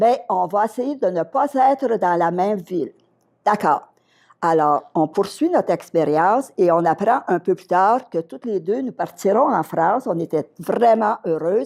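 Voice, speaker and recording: Recorded very cleanly against a silent background, a woman with a medium pitch and lively intonation speaks at a fairly slow pace. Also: big swings in loudness. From Quebec, Outaouais region. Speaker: retired schoolteacher. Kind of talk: interview storytelling.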